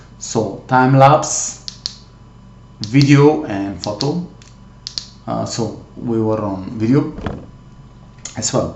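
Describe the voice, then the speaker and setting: In a non-native accent, the speaker talks very slowly with long, frequent pauses, amid noticeable background noise and audible room echo. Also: man, medium pitch for a man, ordinary pitch variation. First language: not English. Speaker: tech hobbyist youtuber. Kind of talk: tutorial. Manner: halting, many fillers.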